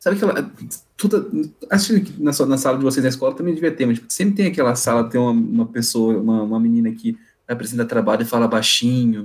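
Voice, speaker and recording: This man speaks at a very fast pace. His pitch sits at a medium level. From Brazilian countryside (interior). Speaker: podcast guest. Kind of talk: casual chat.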